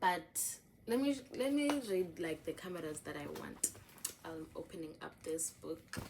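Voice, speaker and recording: A woman with a fairly low voice speaks at a fairly slow pace, her pitch swinging very widely and her loudness rising and falling sharply. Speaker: journaling vlogger. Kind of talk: casual show-and-tell vlog. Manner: chatty, filler-heavy.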